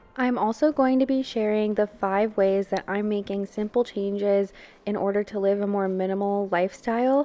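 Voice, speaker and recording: A woman speaks at a medium pitch and a moderate pace. She has a plain, everyday voice. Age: 20s. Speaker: lifestyle vlogger. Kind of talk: casual vlog talk. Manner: casual, filler-heavy.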